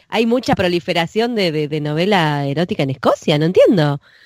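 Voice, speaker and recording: A woman's fairly low voice in a Rioplatense accent, animated in tone and lively in intonation, at a moderate pace, with a dry, close sound and no echo. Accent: Rioplatense Spanish (porteño). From Buenos Aires, Argentina. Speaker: podcast co-host. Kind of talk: casual chat.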